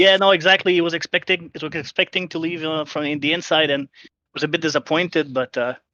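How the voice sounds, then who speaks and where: Speaking at a fairly quick pace in a Quebec accent, a man with a fairly high pitch has a bright, sharp tone, recorded dry and close with no echo against a quiet background. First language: French. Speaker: sim racing team member. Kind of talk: post-race interview. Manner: halting, many fillers.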